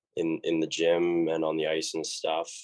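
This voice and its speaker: This is a man speaking. He talks with a Canadian accent. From western Canada. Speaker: college hockey player. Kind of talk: interview. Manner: casual, many fillers.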